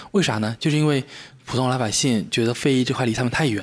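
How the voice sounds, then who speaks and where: This man talks very fast at a medium pitch. His intonation is lively. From Quanzhou, Fujian, China. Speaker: tea brewer. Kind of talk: casual chat. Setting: teahouse.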